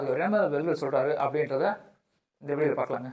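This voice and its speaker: With ordinary pitch variation, this man talks in a plain, everyday voice. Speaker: farming channel host. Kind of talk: casual interview vlog narration.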